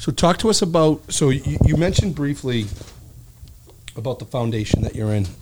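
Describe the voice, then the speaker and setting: Over noticeable background noise, a man with a Boston accent speaks at a moderate pace with lively intonation and long, frequent pauses. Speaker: podcast co-host, insurance adjuster. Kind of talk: casual chat. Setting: studio.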